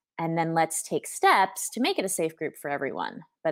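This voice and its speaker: A woman with an American accent has a plain, everyday voice, fairly low in pitch. She speaks at a moderate pace, and the sound is dry and close with no echo. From US, Southern California. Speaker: guest, expat mother. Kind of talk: casual interview.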